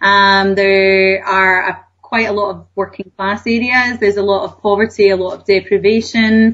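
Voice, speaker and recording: A woman in a Scottish accent, medium-pitched and flat in intonation, at a moderate pace with hardly any pauses. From Scotland, Glasgow. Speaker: author and wellbeing coach. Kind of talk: radio interview.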